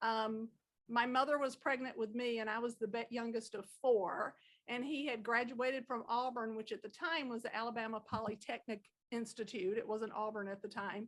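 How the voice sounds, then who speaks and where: The voice carries a strong Southern accent. It has a moderate pace and fairly even intonation. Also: woman, fairly high pitch for a woman. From Georgia (Rome), US South. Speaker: podcast guest, hosts' mother. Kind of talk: casual chat.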